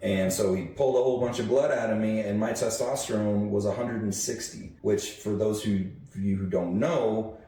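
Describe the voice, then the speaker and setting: Over noticeable background noise and audible room echo, a man speaks at a moderate pace with a fairly low pitch and fairly even intonation. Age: 30s. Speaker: podcast co-host. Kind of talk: casual chat.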